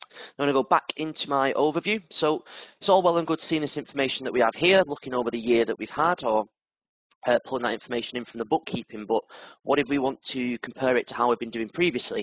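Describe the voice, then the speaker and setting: At a very fast pace, a man with a northern English accent speaks at a medium pitch with ordinary pitch variation. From northern England. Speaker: product manager. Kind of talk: software demo webinar. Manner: casual, with fillers.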